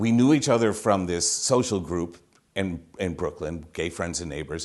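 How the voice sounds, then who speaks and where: Speaking fairly slowly, this man has an American accent. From Massachusetts, Holyoke. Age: 60s. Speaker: storyteller. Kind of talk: personal storytelling.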